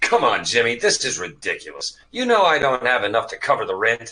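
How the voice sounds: A man puts on a character voice at a medium pitch, with very wide pitch swings, a fairly quick pace and a bright, sharp tone.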